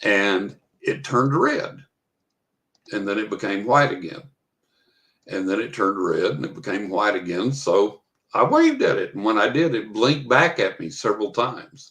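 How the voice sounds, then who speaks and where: Long, frequent pauses in a West Texas accent. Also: man, moderate pace. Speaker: author. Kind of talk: storytelling in podcast interview.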